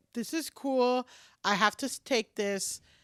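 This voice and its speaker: An animated woman with a high pitch and an American accent at a moderate pace, in a very clean recording with a silent background. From New York City, Washington Heights; Dominican parents. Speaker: comedian. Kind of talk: casual chat.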